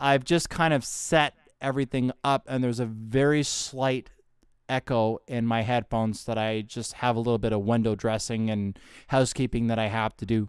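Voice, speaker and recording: Fairly even intonation and a moderate pace in a normal speaking voice, the recording very clean with a silent background. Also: man, medium pitch for a man. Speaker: live streamer and voice actor. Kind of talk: casual live stream talk to camera. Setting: home studio with audio interface and headphones.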